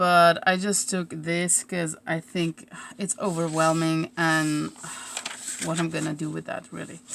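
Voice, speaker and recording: A woman talks with a Slovene accent at a very slow pace. Her voice sits fairly low. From Slovenia. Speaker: crafter / craft YouTuber. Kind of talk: live stream crafting chat. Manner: casual, hesitant.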